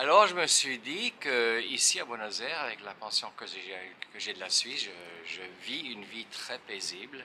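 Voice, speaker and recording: With a Swiss accent, a man speaks at a moderate pace. His loudness swings widely. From Switzerland, French-speaking (Neuchâtel). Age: 70s. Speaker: retired guitarist. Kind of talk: interview. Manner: halting.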